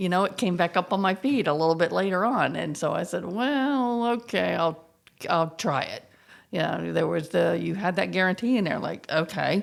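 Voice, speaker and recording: A woman at medium pitch speaks with vocal fry. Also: lively intonation, moderate pace. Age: 60s. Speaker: gym client. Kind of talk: casual interview.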